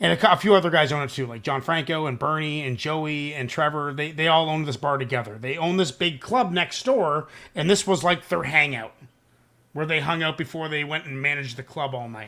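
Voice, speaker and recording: On a very clean recording with a silent background, a man talks at a fairly quick pace, his fairly high pitch and bright, sharp tone showing ordinary pitch variation. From Canada. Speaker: podcast host. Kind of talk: casual chat. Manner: animated.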